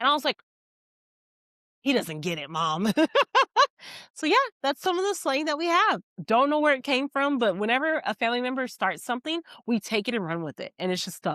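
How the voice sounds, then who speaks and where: A woman with an American accent speaks in a high, bright, sharp voice with very wide pitch swings and long, frequent pauses. The sound is dry and close with no echo, on a very clean recording with a silent background. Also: fairly quick pace. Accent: Texan, noticed by customers. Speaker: podcast co-host. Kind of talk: casual chat.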